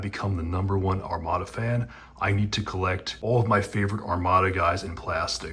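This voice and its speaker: A soft-spoken man with an American accent talks at a fairly quick pace, his fairly low pitch showing ordinary variation. His tone is bright and sharp, and audible room echo is present. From Florida, US. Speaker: toy collector youtuber. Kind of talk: casual vlog unboxing. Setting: hotel room. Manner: soft-spoken, quiet.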